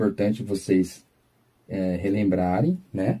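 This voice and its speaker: A man's voice comes across as somewhat breathy, with a dark, mellow tone. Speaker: physics teacher. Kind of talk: lecture. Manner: slow.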